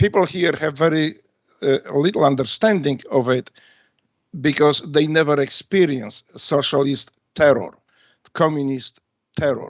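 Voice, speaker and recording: A man with a Polish accent, fairly high in pitch, at a moderate pace with long, frequent pauses. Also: ordinary pitch variation. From Poland. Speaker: retired navy special forces veteran and author. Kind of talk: radio interview. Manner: halting, many fillers.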